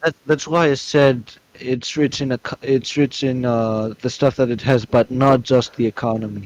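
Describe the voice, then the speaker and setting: Speaking at a moderate pace with a non-native accent, this voice keeps its intonation fairly even. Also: man, medium pitch for a man. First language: not English. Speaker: debate opponent. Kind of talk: heated debate.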